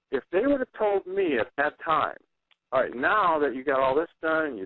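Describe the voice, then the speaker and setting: Here a man uses an ordinary speaking voice. He talks at a moderate pace with lively intonation. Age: 60s. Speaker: guest on talk radio sharing cancer experience. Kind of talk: radio interview. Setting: internet radio show.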